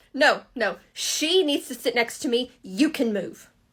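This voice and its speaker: A woman's put-on character voice, high-pitched and lively in intonation, at a fairly slow pace. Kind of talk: comedy skit, playing all parts. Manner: loud, aggressive.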